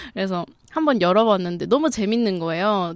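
A woman speaks at a moderate pace with a medium pitch and an ordinary speaking voice. The sound is dry and close with no echo, on a very clean recording with a silent background. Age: 20s. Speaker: documentary film director. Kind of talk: casual chat.

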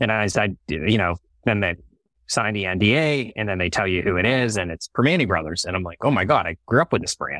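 Speech comes at a very fast pace in an American accent, with a bright, sharp tone. The recording is very clean with a silent background, and the sound is dry and close with no echo. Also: man, fairly low pitch for a man, lively intonation. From Pittsburgh, Pennsylvania (Mt. Lebanon). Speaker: restaurant chain CEO. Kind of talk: interview.

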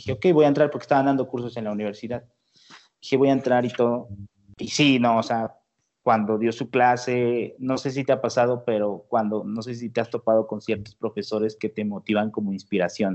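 A plain, everyday voice from a man, medium in pitch, fairly quick in pace, with fairly even intonation. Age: 20s. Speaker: engineering graduate student and music producer. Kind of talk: interview.

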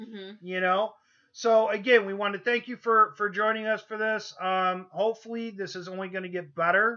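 In an American accent, a man with a high pitch uses a raised, projected voice at a moderate pace against a quiet background. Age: 40s. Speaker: podcast host. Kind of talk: casual chat.

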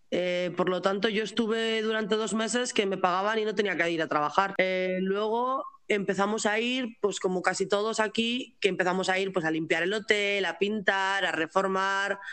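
This woman has an ordinary speaking voice at a medium pitch, with fairly even intonation, a moderate pace and hardly any pauses. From Spain. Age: 20s. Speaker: pastry chef and expat. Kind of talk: interview.

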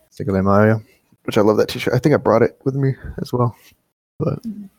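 The sound is dry and close with no echo as a man talks with ordinary pitch variation. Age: 20s. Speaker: podcast host. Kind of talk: casual chat.

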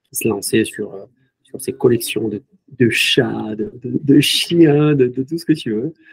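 In a dry, close sound with no echo, a man speaks somewhat breathily with ordinary pitch variation. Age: 30s. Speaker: video game company co-founder. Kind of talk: interview.

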